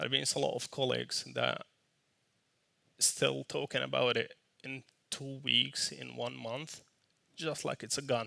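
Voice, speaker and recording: A man is speaking. He has a non-native accent. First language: not English. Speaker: software team lead. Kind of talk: conference talk. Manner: casual.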